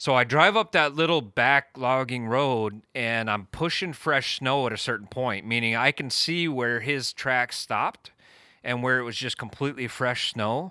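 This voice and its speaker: Speaking in a Pacific Northwest accent, a man uses a medium pitch, ordinary pitch variation and a bright, sharp tone at a moderate pace. The recording is very clean with a silent background, and the sound is dry and close with no echo. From US Pacific Northwest, Eastern Washington. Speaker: podcast co-host, Sasquatch researcher. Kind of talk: casual storytelling. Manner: halting, many fillers.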